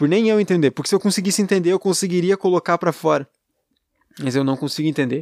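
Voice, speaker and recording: A man with a high pitch and ordinary pitch variation talks at a very fast pace, recorded dry and close with no echo on a very clean recording with a silent background. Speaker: podcaster. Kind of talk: solo monologue, personal venting. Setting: alone at girlfriend's home. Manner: rambling, hesitant.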